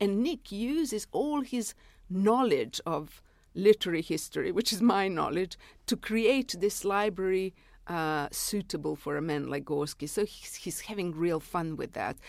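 A woman with a Serbian accent, at a medium pitch. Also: lively intonation, fairly slow pace, very clean recording, silent background. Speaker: novelist and literary critic. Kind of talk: interview. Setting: studio.

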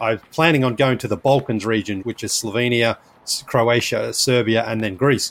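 This man has an Australian accent and a medium pitch. He talks at a moderate pace with ordinary pitch variation. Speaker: basketball podcaster. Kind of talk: interview, casual storytelling. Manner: animated.

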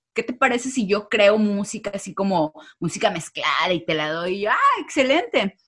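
A woman speaks at a moderate pace with an ordinary speaking voice. Her pitch is medium and her intonation lively. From Mexico. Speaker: social media creator. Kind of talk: interview.

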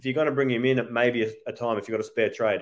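The speaker has an Australian accent. Their pitch moves with ordinary variation. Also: man. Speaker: podcast host. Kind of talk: casual chat.

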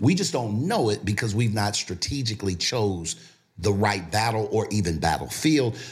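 Somewhat breathy, a man speaks at a moderate pace with lively intonation and very even loudness. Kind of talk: casual interview.

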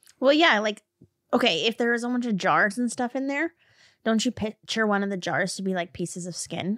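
A woman with an ordinary speaking voice, fairly high in pitch, talks at a fairly quick pace with lively intonation. The recording is very clean and dry, close with no echo, against a silent background. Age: 30s. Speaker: true crime podcast co-host. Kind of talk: casual chat. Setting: studio.

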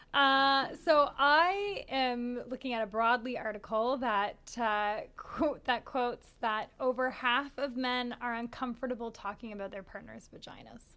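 This woman has a Canadian accent and a high, bright, sharp voice. She talks at a fairly slow pace, with ordinary pitch variation and big swings in loudness. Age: 30s. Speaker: podcast co-host. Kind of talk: casual chat. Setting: studio, being filmed.

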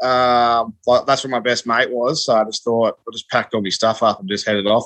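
Very fast and medium in pitch, a man speaks in an Australian accent. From northern Victoria, Australia. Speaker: dairy farmer. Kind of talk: casual chat.

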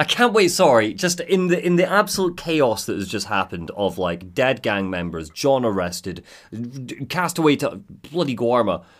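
A man's medium-pitched voice with a Scottish accent and vocal fry, moving at a moderate pace with very wide pitch swings, in a very clean recording with a silent background. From Scotland. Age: 20s. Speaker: podcast host. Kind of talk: casual chat.

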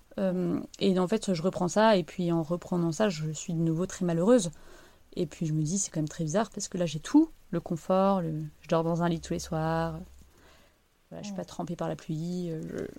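A woman with a fairly low pitch talks at a moderate pace in a dark, mellow tone and fairly even intonation, in a very clean recording with a silent background. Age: 30s. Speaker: mother sharing personal story. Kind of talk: testimony.

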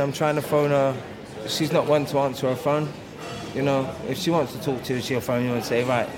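Speaking with an English accent, a man moves at a fairly quick pace with a fairly high pitch and fairly even intonation, amid audible room echo and noticeable background noise. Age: 40s. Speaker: bereaved partner. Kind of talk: interview testimony.

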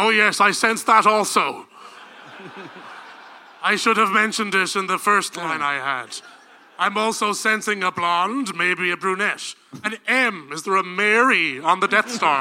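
Raised and projected, a man's high-pitched voice carries a menacing tone at a moderate pace, with ordinary pitch variation and long, frequent pauses. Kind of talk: comic parody film read. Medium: stage play. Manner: menacing, portentous, self-mocking.

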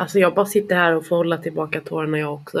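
Fairly low-pitched, a woman talks at a fairly quick pace. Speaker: podcast host. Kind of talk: casual chat. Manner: frequent filler words.

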